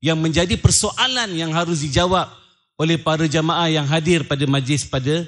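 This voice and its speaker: The speaker has a Malaysian accent and keeps a moderate pace against a quiet background. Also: man. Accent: Malaysian Malay. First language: Malay (speaking Indonesian). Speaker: Islamic preacher and businessman. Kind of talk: religious lecture. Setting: lecture hall with live audience. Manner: halting.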